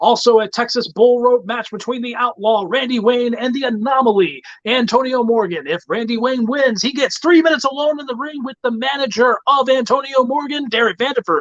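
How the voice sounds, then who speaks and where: Noticeable background noise surrounds a man talking at an extremely high pitch. He moves at a fairly quick pace with hardly any pauses and ordinary pitch variation. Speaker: wrestling promoter. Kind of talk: event announcement. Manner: showman announcer style.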